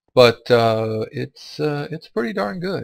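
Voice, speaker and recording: A man speaks very slowly at a medium pitch, somewhat breathy. His intonation is lively, and the sound is dry and close with no echo. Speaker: gaming let's play youtuber. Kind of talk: let's play commentary. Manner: casual, chatty.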